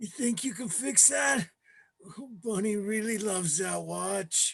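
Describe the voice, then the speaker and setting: A man talks in a put-on character voice pitched high. He goes at a fairly slow pace. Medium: audio drama.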